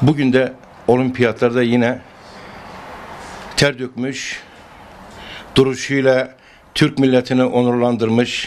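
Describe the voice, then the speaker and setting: Over light background noise, a man speaks at a very slow pace with monotone, flat intonation and long, frequent pauses. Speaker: mayor. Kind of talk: public statement. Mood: proud, praising. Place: home room. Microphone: handheld.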